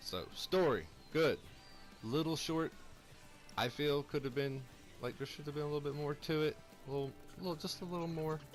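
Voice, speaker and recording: Over music in the background, a man speaks at a fairly quick pace with an upbeat, excited tone. His pitch varies in an ordinary way, broken by long, frequent pauses. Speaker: gamer, video game reviewer. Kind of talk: game review talk over gameplay.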